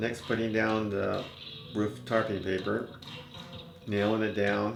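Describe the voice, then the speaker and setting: Speech comes at a fairly slow pace with very even loudness and ordinary pitch variation. Music plays in the background. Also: man, fairly low pitch for a man. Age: 70s. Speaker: retired DIY builder. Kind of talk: casual DIY narration.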